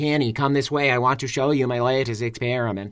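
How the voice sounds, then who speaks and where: In a put-on robotic character voice, a man rattles along at a very fast pace and medium pitch. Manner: flat, deadpan.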